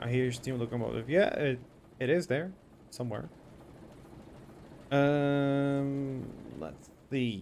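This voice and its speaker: A man with a non-native accent at a very slow pace and medium pitch, with ordinary pitch variation and long, frequent pauses. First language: not English. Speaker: streamer. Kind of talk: live gaming stream. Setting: live stream. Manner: casual, thinking aloud.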